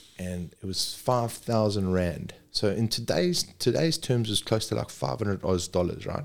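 In a very clean recording with a silent background, a man with a South African accent and a fairly low pitch talks at a moderate pace with lively intonation and hardly any pauses. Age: 40s. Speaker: paramedic. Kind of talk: casual chat.

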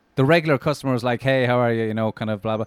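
Speaking with an Irish accent, a man has a medium pitch. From Ireland. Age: 30s. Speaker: comedian. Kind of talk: casual chat.

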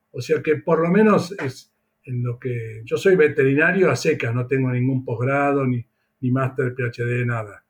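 A man speaks at a fairly slow pace with a medium pitch. His voice is somewhat breathy, with ordinary pitch variation. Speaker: veterinarian. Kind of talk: interview.

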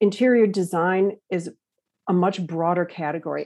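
A woman talks at a moderate pace in a normal speaking voice. Her pitch is fairly low. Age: 60s. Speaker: interior designer. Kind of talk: casual chat.

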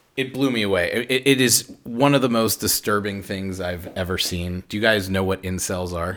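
An unremarkable speaking voice from a man, fairly low in pitch, at a moderate pace with ordinary pitch variation and hardly any pauses. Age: 40s. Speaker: commercial director. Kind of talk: casual chat.

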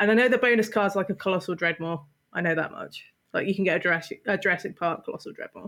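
A woman's medium-pitched voice, very fast, in a British accent, with ordinary pitch variation. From England. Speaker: co-host. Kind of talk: casual chat.

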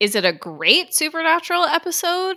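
Her pitch rises and falls very widely. This woman talks in a raised, projected voice. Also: very clean recording, silent background. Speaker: horror podcast co-host. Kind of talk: casual chat.

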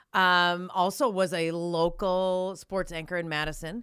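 Very slow and fairly low-pitched, a woman speaks with a bright, sharp tone in a very clean recording against a silent background. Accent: Upper Midwest. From North Dakota. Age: 40s. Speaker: sports broadcaster. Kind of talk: casual chat.

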